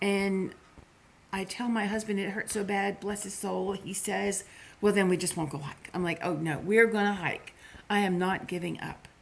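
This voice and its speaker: The speech moves at a moderate pace with fairly even intonation. Noticeable background noise sits behind it. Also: woman, medium pitch for a woman. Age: 60s. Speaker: vlogger. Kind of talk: casual chat.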